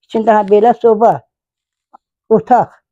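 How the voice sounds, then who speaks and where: A woman speaks with a dark, mellow tone. The sound is dry and close, with no echo. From Kars, eastern Turkey (village). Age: 80s+. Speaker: village mother of 21 children. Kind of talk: interview answer.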